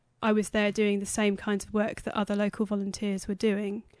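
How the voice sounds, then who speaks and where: A woman with a British accent speaks fairly quickly at a fairly high pitch in a monotone, flat intonation, with a dry, close sound with no echo and a quiet background. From England, Cambridge. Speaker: anthropologist. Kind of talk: interview. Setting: studio.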